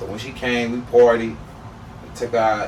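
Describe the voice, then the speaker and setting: A man speaks with an American accent. The room echo is audible and the background noise is noticeable. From Turks and Caicos and Florida. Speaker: podcast guest. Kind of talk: casual chat.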